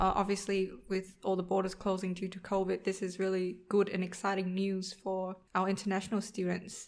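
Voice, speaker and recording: With a Vietnamese accent, a woman talks at a moderate pace in a monotone, flat intonation. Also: medium pitch for a woman, hardly any pauses. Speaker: podcast co-host, accountant. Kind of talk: casual podcast chat.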